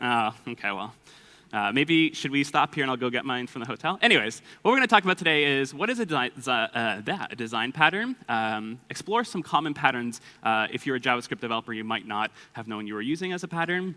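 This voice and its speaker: A loud, very fast man with a Canadian accent and a bright, sharp tone. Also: medium pitch for a man, lively intonation. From Canada, Toronto. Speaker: conference speaker, developer and coding instructor. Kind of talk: conference talk. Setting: stage with audience. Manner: casual with many filler words.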